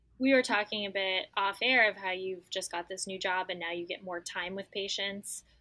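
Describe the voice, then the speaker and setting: Speaking at a moderate pace with hardly any pauses, a woman holds a medium pitch. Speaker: podcast host and nutrition coach. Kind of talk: interview conversation. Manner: enthusiastic.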